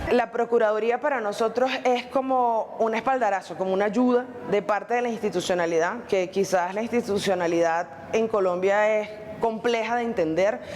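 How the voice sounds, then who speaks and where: At a moderate pace, a woman speaks with a fairly high pitch. Her pitch varies in an ordinary way, and there is noticeable background noise. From Venezuela. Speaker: Venezuelan migrant. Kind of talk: interview testimony.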